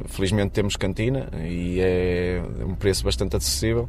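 A man's voice, very deep and low in pitch. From Portugal, Matosinhos near Porto. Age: 30s. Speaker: refinery worker. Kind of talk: interview. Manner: halting.

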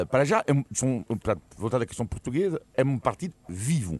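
Against a quiet background, a man with vocal fry swings his pitch very widely, the sound dry and close with no echo. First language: French (speaking Portuguese). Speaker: political commentator. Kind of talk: radio panel debate. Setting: radio studio.

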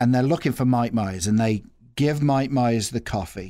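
On a very clean recording with a silent background, a man speaks at a medium pitch. His pitch variation is ordinary. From England, Nuneaton near Coventry (English Midlands). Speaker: nonprofit executive director. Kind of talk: casual interview.

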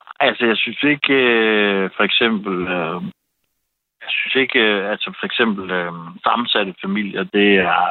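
In a plain, everyday voice, a man speaks at a fairly low pitch and a fairly slow pace. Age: 40s. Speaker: caller. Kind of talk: casual chat. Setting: phone call.

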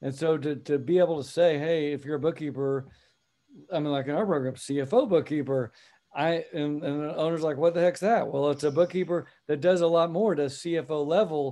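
A man with an American accent and fairly high pitch talks at a moderate pace in an unremarkable speaking voice, his intonation fairly even. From US (Texas/Oklahoma area). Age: 50s. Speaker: accountant and CFO business founder. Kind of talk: interview.

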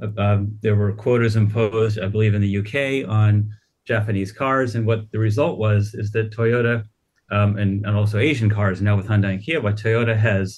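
The voice is somewhat breathy, its intonation fairly even, at a fairly quick pace. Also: man. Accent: American. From United States. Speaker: automotive news editor. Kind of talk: radio panel interview.

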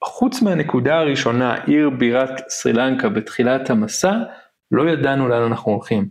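In an ordinary speaking voice, a man talks at a moderate pace and medium pitch with ordinary pitch variation and very even loudness. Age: 30s. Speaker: podcast host, travelling parent. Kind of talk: casual chat.

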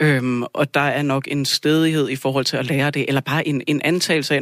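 A man talks at a fairly high pitch in a monotone, flat intonation. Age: 30s. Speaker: lab technician and union rep. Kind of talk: radio studio discussion. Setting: radio studio.

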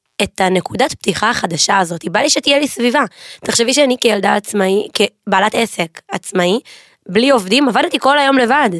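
Very wide pitch swings at a moderate pace, in a dry, close sound with no echo. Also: woman, fairly high pitch for a woman. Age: 20s. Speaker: pastry business owner. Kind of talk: casual chat. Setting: studio.

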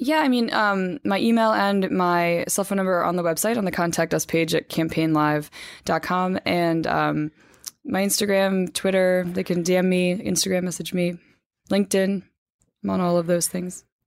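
A woman with an American accent speaks in a normal speaking voice at medium pitch and a moderate pace, with ordinary pitch variation, very even loudness, and a very clean recording over a silent background. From New Jersey, US. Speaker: magazine editor. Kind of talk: casual interview.

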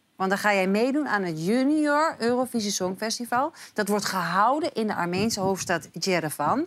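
A woman speaks with hardly any pauses at medium pitch. Her pitch swings are very wide. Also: moderate pace. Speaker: talk show presenter. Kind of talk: live talk show. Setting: studio.

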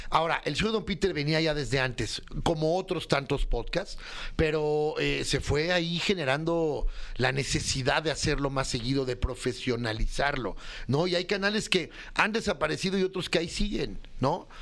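Here is a man with a normal speaking voice, pitched fairly high. His loudness stays very even, with ordinary pitch variation. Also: moderate pace. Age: 40s. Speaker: comedy writer. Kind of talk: casual chat.

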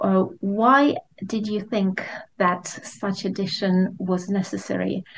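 A somewhat breathy woman speaks at a very slow pace with fairly even intonation. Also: medium pitch for a woman. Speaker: podcast host. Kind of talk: interview. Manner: halting, hesitant.

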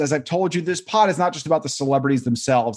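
American-accented male speech with ordinary pitch variation. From New York. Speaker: podcast host. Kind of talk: casual chat. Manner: animated.

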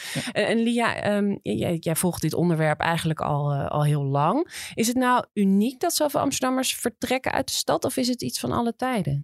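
A woman speaks with very wide pitch swings, very even loudness and hardly any pauses. The recording is very clean, with a silent background and a dry, close sound with no echo. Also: medium pitch for a woman, moderate pace. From Amsterdam. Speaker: podcast host. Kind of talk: interview.

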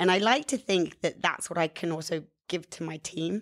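A woman with a British accent talks in a fairly low pitch with ordinary pitch variation. The recording is very clean, with a silent background. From England. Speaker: media executive.

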